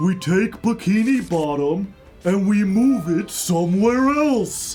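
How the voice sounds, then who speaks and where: A put-on character voice at a middle pitch, fairly slow pace, with clear background noise. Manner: slow, dim-witted.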